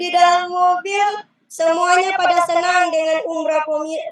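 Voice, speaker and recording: A woman speaks with a Central Sulawesi accent. Her pace is moderate. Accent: Sulawesi (Palu) dialect. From Palu, Central Sulawesi. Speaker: umrah pilgrim giving testimony. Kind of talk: testimony. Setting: video call from inside a car. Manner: halting, with many fillers.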